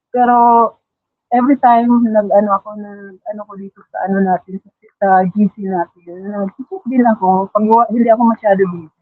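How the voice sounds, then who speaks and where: A woman's medium-pitched voice at a moderate pace. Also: fairly even intonation. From Philippines, Davao region (Mindanao). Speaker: masterclass participant, trainer. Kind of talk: testimony sharing on livestream. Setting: online livestream. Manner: halting, many fillers.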